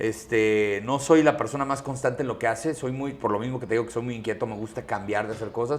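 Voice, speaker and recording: A man talks at a very fast pace, with hardly any pauses, a medium pitch and fairly even intonation. Noticeable background noise runs under his voice. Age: 40s. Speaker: transport company CEO and podcaster. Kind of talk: interview conversation.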